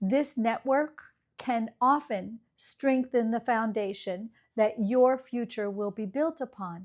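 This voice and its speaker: Someone speaks at a very slow pace with a Midwestern American accent. The recording is very clean, with a silent background. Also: woman, fairly high pitch for a woman. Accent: flat Midwestern American. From US Midwest, Iowa. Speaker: ESL teacher, channel host. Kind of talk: scripted lecture. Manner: measured, formal.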